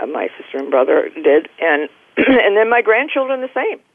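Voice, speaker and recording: In an American accent, a woman speaks at a moderate pace with lively intonation. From Massachusetts, later St. Louis. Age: 80s. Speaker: elderly guest sharing life stories. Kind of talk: interview about her life. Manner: halting, many fillers.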